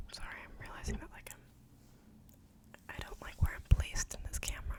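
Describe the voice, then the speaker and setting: A woman whispers at a fairly quick pace, her loudness swinging widely. Noticeable background noise sits behind her. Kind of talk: ASMR Reddit story reading with personal commentary. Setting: home recording with background noise. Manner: casual, chatty, opinionated, rambling.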